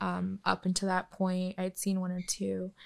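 Speaking at a moderate pace, a woman with an American accent has a medium pitch in a very clean recording with a silent background. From Michigan, US Midwest. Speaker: tattoo artist. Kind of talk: interview, casual chat.

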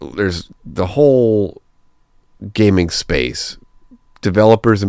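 Ordinary pitch variation marks a man's very slow delivery. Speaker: community manager hosting a gaming podcast. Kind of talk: solo podcast monologue. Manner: casual, rambling with fillers.

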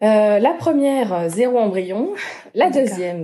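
A woman's cheerful, dark and mellow voice at a medium pitch, with lively intonation. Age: 20s. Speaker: patient sharing fertility treatment experience. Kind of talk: testimony. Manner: cheerful despite topic, smiling voice.

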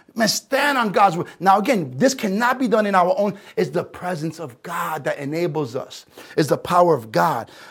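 A man with a New York accent speaks in an animated tone at a high pitch, with very wide pitch swings. The recording is very clean, with a silent background. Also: moderate pace. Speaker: pastor. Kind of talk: sermon.

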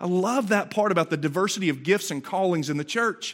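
The speaker talks at a fairly quick pace in an animated tone with lively intonation. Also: man, very clean recording, silent background. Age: 40s. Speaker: pastor. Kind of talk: sermon.

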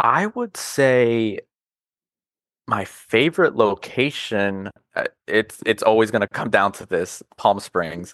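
A man with an American accent talks at a very slow pace with ordinary pitch variation. The background is quiet, and the sound is dry and close with no echo. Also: medium pitch for a man. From US South, North Carolina (Charlotte). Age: 20s. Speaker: car enthusiast. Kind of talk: casual chat.

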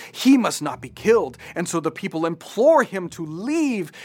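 A man with an unremarkable speaking voice, lively intonation and a fairly slow pace. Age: 30s. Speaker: pastor. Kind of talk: satirical commentary. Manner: sarcastic, mocking.

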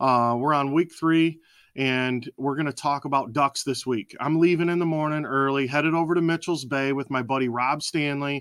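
In a normal speaking voice, a fairly high-pitched man talks at a moderate pace with fairly even intonation, in a very clean recording with a silent background and a dry, close sound with no echo. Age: 40s. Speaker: podcast host, hunter. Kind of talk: casual chat.

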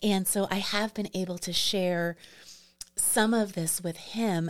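A woman with an American accent, her intonation flat and monotone. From New York City. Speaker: property manager and graduate student. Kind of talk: casual interview conversation. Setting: studio.

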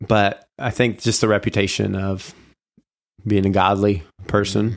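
Speaking in a fairly low pitch, a man keeps a monotone, flat intonation at a fairly slow pace with long, frequent pauses. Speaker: podcast host and rapper interviewed as guest. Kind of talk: casual interview conversation. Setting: studio. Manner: stutters at times.

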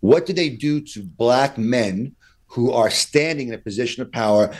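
A man with a New York accent, a medium pitch and ordinary pitch variation. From Brooklyn, New York. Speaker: defense attorney. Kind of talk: interview. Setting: video call.

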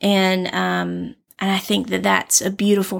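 On a very clean recording with a silent background, a woman speaks with a Southern US accent. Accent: Southern US drawl. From US South. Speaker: podcast co-host, counseling-oriented. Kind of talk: casual chat.

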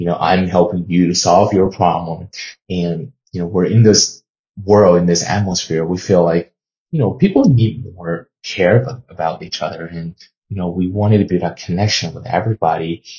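A very deep, low, somewhat breathy male voice with a Chinese accent, at a moderate pace with fairly even intonation. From China. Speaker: podcast host and sports journalist. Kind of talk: solo podcast monologue.

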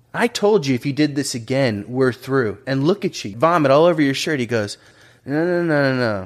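A normal speaking voice from a man, fairly high-pitched, moderate in pace, lively in intonation. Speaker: podcast host. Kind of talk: casual interview.

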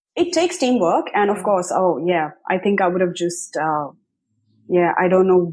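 A woman with a normal speaking voice talks at a moderate pace against a quiet background. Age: 30s. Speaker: marketing coach and author. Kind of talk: interview. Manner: conversational with frequent fillers.

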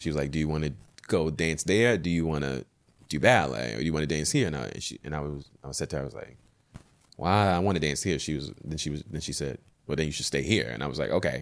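Speaking very fast in an American accent, a man with a very deep, low pitch uses vocal fry and ordinary pitch variation. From Baltimore, Maryland. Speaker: ballet dancer. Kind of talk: casual chat. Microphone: mic too far at start.

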